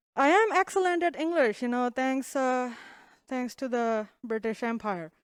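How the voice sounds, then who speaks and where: A woman's high voice with lively intonation at a moderate pace, in a very clean recording over a silent background. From India. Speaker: comedian. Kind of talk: stand-up. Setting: stage with audience.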